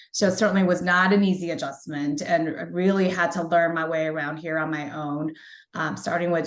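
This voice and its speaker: A woman speaks at a fairly quick pace in a fairly low pitch, with fairly even intonation. Room echo is audible. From China, moved to US at about ten. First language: Mandarin Chinese. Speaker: media company executive. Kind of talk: interview about career journey. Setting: online webinar.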